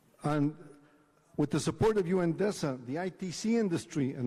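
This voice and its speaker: This man has a Spanish accent and a fairly high pitch. His tone is dark and mellow, with ordinary pitch variation. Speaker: diplomat. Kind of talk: conference speech.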